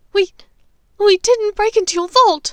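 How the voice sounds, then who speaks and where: In a squeaky, put-on character voice, a woman talks at a moderate pace with an extremely high pitch. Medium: read story. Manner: stammering, pleading.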